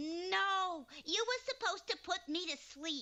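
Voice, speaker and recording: This cartoonish character voice, female-sounding and extremely high-pitched, moves at a fairly slow pace. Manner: brash, eager.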